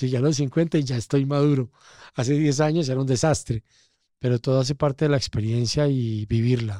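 In a dry, close recording with no echo, a man speaks at a fairly quick pace with a medium pitch, fairly even intonation and a dark, mellow tone. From Colombia, coffee region (Pereira). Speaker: casting director. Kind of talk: interview conversation.

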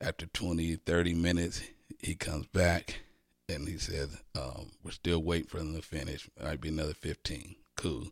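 A man with a very deep, low pitch and vocal fry speaks at a moderate pace with fairly even intonation. The recording is very clean, with a silent background. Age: 50s. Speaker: pastor. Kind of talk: casual chat.

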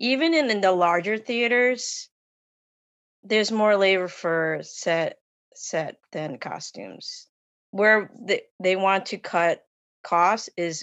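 A woman's medium-pitched voice with an American accent, very slow pace and ordinary pitch variation. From US, Long Island. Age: 50s. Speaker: costume designer. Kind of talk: casual interview. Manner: hesitant, many fillers.

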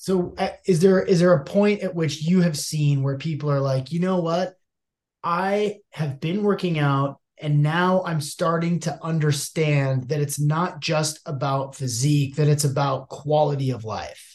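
At a fairly slow pace, a man speaks in a fairly high, somewhat breathy voice. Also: ordinary pitch variation. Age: 40s. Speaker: podcast host. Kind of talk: interview.

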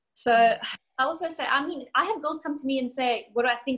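In a South African accent, a woman speaks with a high pitch and a bright, sharp tone. The recording is very clean, with a silent background. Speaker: bikini competitor and coach. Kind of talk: casual interview.

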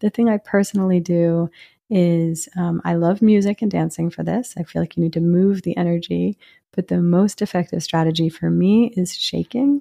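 A woman speaks at a moderate pace in a fairly low pitch with ordinary pitch variation, her tone soothing, calm, dark and mellow. The sound is dry and close with no echo, over a quiet background. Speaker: psychiatrist and author. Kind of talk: interview.

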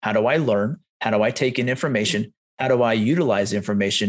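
A man with an American accent and a normal speaking voice, lively intonation and a fairly quick pace. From rural Pennsylvania. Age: 40s. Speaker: men's coach, founder of a men's group. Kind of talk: interview, personal story.

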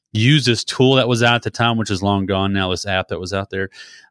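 Recorded dry and close with no echo, this man's voice shows ordinary pitch variation. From Texas (near Waco). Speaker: social media marketer, podcaster. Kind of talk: interview.

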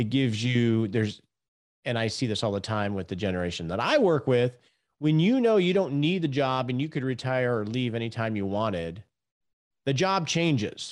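Against a quiet background, a man with an ordinary speaking voice and medium pitch speaks at a moderate pace with lively intonation. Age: 50s. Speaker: financial planner and podcast host. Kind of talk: interview. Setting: remote call.

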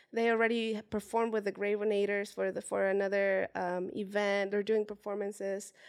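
A woman with a Spanish accent speaks at a fairly quick pace in a medium pitch and a flat monotone, on a very clean recording with a silent background. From Mexico, Puebla. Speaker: street dancer and dance teacher. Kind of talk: interview.

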